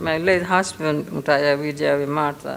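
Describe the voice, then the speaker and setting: In a room with audible echo, a woman with a very deep, low voice speaks at a fairly slow pace. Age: 80s+. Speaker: business owner. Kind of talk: conference speech.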